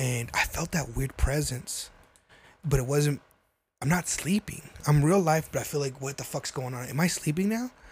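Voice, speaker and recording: A man's voice, fairly high in pitch and somewhat breathy, moves at a moderate pace with ordinary pitch variation. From New Mexico. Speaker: podcast co-host. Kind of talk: casual chat.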